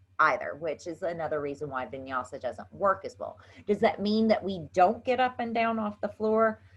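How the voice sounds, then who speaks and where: With an American accent, a woman speaks at a moderate pace. Her pitch swings very widely over a quiet background. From US South. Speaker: yoga instructor. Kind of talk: tutorial. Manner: casual, chatty.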